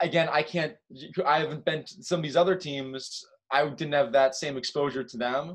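A man's ordinary speaking voice, fairly high in pitch, with fairly even intonation, a moderate pace and big swings in loudness. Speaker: musician and college student. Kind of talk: casual chat.

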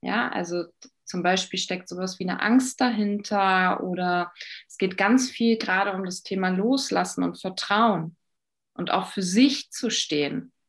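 A woman with a plain, everyday voice speaks at a fairly slow pace, her pitch varying in an ordinary way against a quiet background. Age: 30s. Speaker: life coach and shamanic practitioner. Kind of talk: podcast interview.

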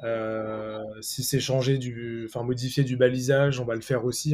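A man speaks in a dark, mellow tone at medium pitch, his intonation monotone and flat. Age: 30s. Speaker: SEO agency manager. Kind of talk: casual interview.

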